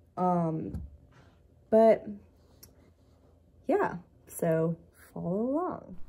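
The tone is dark and mellow. The voice is somewhat breathy. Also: woman. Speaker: artist vlogger. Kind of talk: casual vlog chat. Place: home room. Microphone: phone near.

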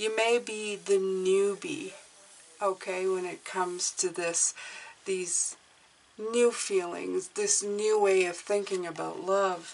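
A woman's voice at a very slow pace, with fairly even intonation. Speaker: tarot reader. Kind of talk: tarot reading commentary. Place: home room.

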